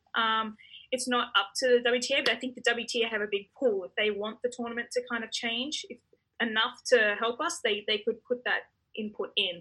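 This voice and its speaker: Fairly high in pitch with a bright, sharp tone, a woman with an Australian accent speaks at a moderate pace with fairly even intonation. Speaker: professional tennis player. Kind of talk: interview. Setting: hotel quarantine room.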